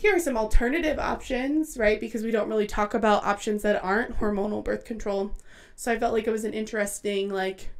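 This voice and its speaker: With ordinary pitch movement, a woman speaks fairly quickly. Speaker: podcast co-host. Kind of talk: casual podcast conversation. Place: home room. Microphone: studio mic.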